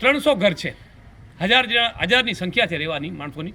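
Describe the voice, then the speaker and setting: Noticeable background noise runs under this recording. A man talks with lively intonation. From Kutch, Gujarat. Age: 50s. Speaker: local businessman and village figure. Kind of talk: news interview statement.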